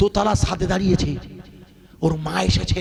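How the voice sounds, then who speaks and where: An animated tone amid noticeable background noise. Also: man. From India, West Bengal (Basirhat area). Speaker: Islamic preacher. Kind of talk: sermon. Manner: loud, animated exhortation.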